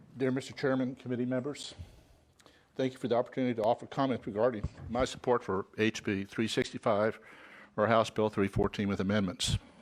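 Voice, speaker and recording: A normal speaking voice from a man, medium in pitch, fairly quick with fairly even intonation, on a very clean recording with a silent background. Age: 60s. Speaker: member of the public giving testimony. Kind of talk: public comment at a legislative hearing.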